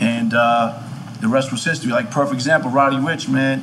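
A man with an American accent talks at a fairly quick pace, his pitch fairly high with ordinary variation. Noticeable background noise runs behind him. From Queens, New York. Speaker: music manager. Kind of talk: casual chat.

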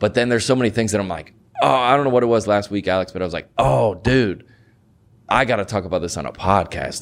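A man talks at a fairly quick pace and a fairly low pitch. His intonation is lively. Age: 30s. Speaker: podcast host and comedian. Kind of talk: casual chat. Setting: studio. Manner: animated.

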